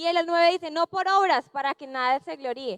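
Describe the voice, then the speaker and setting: Extremely high in pitch, a woman talks at a fairly quick pace with ordinary pitch variation, in a dry, close sound with no echo. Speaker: youth preacher. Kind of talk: sermon. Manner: fast.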